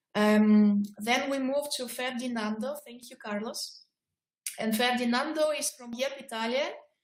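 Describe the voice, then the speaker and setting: A woman's high voice with fairly even intonation at a moderate pace, big swings in loudness and audible room echo. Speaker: project coordinator. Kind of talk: video conference moderation. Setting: video call. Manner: soft-spoken. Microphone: too quiet.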